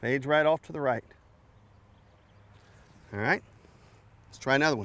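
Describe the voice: At a slow pace, a man speaks at medium pitch with a fairly bright tone and ordinary pitch variation.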